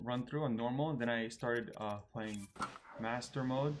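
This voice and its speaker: A man with an American accent speaks in an unremarkable speaking voice with ordinary pitch variation. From US. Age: 30s. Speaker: gaming youtuber. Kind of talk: live stream gameplay Q&A. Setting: live stream.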